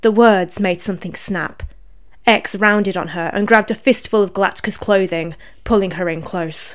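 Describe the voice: Simply a plain reading aloud.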